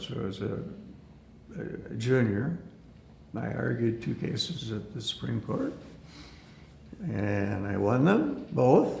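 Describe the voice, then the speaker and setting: A man with an Upper Midwest accent speaks over noticeable background noise. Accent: Upper Midwest American. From Aberdeen, South Dakota. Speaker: attorney and former hotel CEO. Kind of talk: oral history interview answer.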